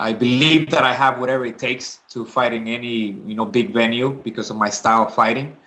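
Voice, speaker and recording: A man speaks with a Spanish accent. His tone is bright and sharp. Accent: Spanish accent, noticeable. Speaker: MMA fighter. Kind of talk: interview. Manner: hesitant, many fillers.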